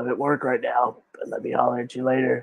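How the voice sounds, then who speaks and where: A man does a put-on character voice. It sounds raspy and moves at a fairly quick pace. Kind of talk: casual slangy. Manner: relaxed, laid back.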